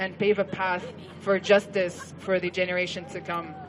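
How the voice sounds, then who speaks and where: Over noticeable background noise, a woman with an Arabic accent talks at a moderate pace and medium pitch. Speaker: event emcee. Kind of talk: speaker introduction.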